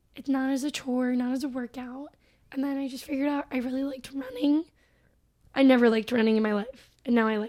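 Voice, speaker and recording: A woman's high-pitched voice with a dark, mellow tone, a fairly quick pace and flat, monotone intonation. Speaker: recent graduate and blogger. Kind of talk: casual chat.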